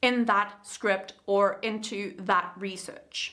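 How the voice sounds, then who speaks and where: The speaker is a woman. She has a South African accent. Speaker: YouTube creator and coach. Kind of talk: tutorial.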